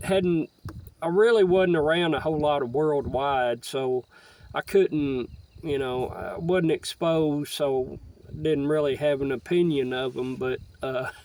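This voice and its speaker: In a Southern US accent, a man speaks at a fairly slow pace and fairly high pitch with ordinary pitch variation. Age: 60s. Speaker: stamp collector vlogger. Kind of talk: casual monologue. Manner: halting, many fillers.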